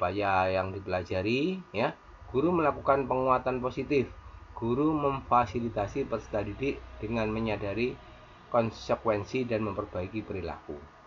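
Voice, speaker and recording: An unremarkable speaking voice from a man, medium in pitch, with lively intonation at a moderate pace. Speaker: teacher tutorial maker. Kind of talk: screen tutorial.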